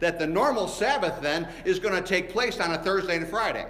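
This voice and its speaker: A man speaks at a fairly quick pace with a high pitch and ordinary pitch variation. The recording carries audible room echo and noticeable background noise. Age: 60s. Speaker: pastor. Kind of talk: sermon. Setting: church. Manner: animated.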